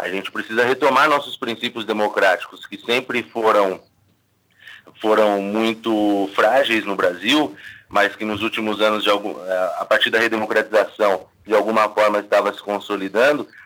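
A man speaks at a moderate pace, his fairly low voice bright and sharp in tone. His intonation is fairly even, though his loudness swings widely. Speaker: political scientist. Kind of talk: radio interview.

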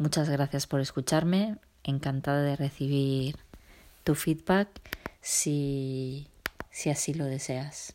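Speaking at a very slow pace with long, frequent pauses, a woman uses a very deep, low pitch, a dark, mellow tone and fairly even intonation. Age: 40s. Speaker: business consultant and trainer. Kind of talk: solo podcast monologue. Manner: halting with filler sounds.

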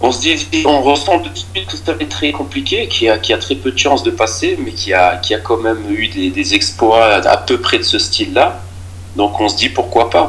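At a moderate pace and fairly low pitch, a man talks with ordinary pitch variation against noticeable background noise. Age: 40s. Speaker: amateur football coach. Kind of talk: interview. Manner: halting, many repeated words.

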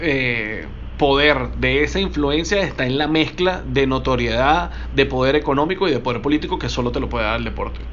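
Noticeable background noise and audible room echo fill the recording. Through it, a man talks. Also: fairly quick pace. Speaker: sports marketing podcast host. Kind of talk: interview.

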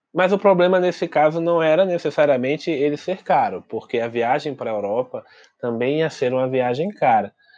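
A man with an ordinary speaking voice talks at a moderate pace and a fairly high pitch, his intonation lively, against a quiet background. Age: young. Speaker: podcast co-host, traveler. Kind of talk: casual chat.

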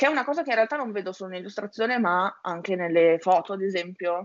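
A woman speaks with lively intonation and a medium pitch. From Italy, Emilia-Romagna. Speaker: illustrator and graphic designer. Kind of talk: interview. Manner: hesitant, many fillers.

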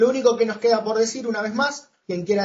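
A man talks with ordinary pitch variation. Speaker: podcast host. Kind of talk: interview.

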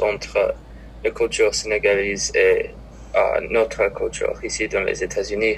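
A man talks at a fairly slow pace. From Minnesota. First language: English (speaking French). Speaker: college student. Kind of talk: casual interview. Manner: halting.

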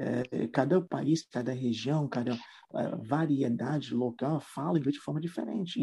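A man with an English accent talks at a fairly slow pace in a fairly high voice with a dark, mellow tone and vocal fry. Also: dry, close sound with no echo. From Trinidad and Tobago. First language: English (speaking Portuguese). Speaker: English teacher. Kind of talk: interview.

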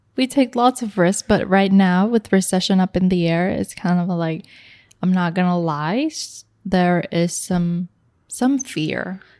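A woman speaks in an unremarkable speaking voice at medium pitch, with ordinary pitch variation and a fairly slow pace. The very clean recording has a silent background and a dry, close sound with no echo. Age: 20s. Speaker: podcast co-host. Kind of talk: casual chat.

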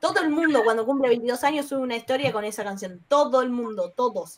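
In a Rioplatense accent, a woman talks at a fairly quick pace, her high voice showing ordinary pitch variation. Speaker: podcast co-host. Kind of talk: casual chat.

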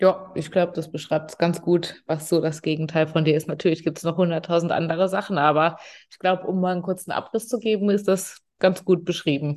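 Over a quiet background, a woman talks fairly quickly and with hardly any pauses in an unremarkable speaking voice, fairly low in pitch. Her intonation is fairly even, though her loudness swings widely. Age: 30s. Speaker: podcast host, organizational development coach. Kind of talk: casual chat.

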